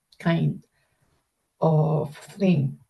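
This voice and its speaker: A woman's dark, mellow, somewhat breathy voice. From Philippines, Baguio City. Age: 60s. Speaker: interviewee, grandmother. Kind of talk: interview answers. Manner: halting, with fillers.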